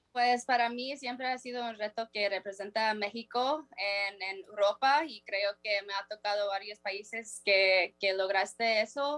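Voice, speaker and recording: A woman with a fairly high pitch and fairly even intonation speaks at a fairly slow pace with hardly any pauses. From United States. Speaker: professional footballer. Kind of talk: interview. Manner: halting.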